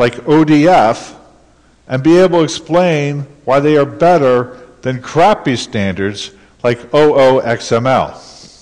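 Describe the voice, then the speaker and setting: Lively intonation, a fairly slow pace and a normal speaking voice. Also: man. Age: 60s. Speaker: conference speaker. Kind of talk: conference talk.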